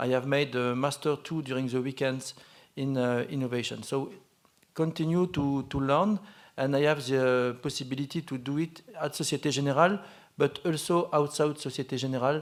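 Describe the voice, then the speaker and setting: Over a silent background on a very clean recording, a man speaks at a moderate pace with fairly even intonation and a fairly high pitch. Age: 40s. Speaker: bank innovation and blockchain lead. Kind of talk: panel discussion. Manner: halting, many fillers.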